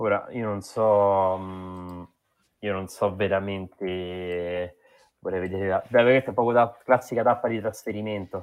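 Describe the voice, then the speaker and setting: A man with a plain, everyday voice speaks at a fairly low pitch with fairly even intonation. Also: fairly slow pace. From Rome, Italy. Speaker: cycling podcast host. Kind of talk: casual chat.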